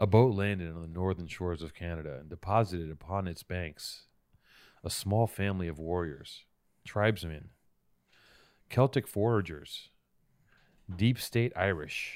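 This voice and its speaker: Long, frequent pauses break up a man's moderate pace as he speaks with an American accent at a very deep, low pitch and ordinary pitch variation. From Venice, California. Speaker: podcast co-host and interviewer. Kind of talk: casual chat; mock-epic narration. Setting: studio.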